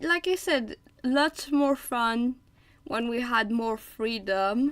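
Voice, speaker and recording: A high-pitched woman's voice at a very slow pace, with lively intonation and long, frequent pauses. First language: French. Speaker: artist streaming drawing. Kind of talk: casual live-stream chat while drawing. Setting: live stream. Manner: hesitant, many fillers and repeats.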